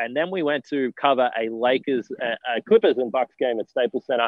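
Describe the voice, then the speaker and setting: This man has an Australian accent, a medium pitch and ordinary pitch variation. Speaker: sports reporter. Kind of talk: interview.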